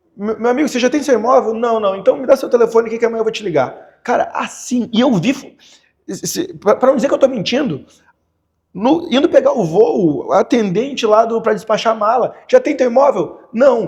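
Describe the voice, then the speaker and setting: With a Gaúcho Brazilian accent, a man talks at a moderate pace. His pitch is extremely high and varies in an ordinary way. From Porto Alegre, southern Brazil. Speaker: real estate financing specialist. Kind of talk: podcast interview answer.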